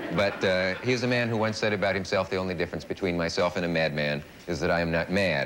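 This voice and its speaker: A man speaks at a very fast pace in a very deep, low voice. His loudness stays very even over noticeable background noise. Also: ordinary pitch variation. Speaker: talk show host. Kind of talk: guest introduction. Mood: dry, wry humor. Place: studio.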